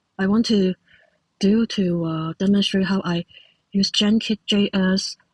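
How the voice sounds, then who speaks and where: With a Cantonese accent, a woman speaks at a medium pitch with ordinary pitch variation and a somewhat breathy sound, in a dry, close recording with no echo. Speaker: software developer. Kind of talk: tutorial. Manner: halting, many fillers.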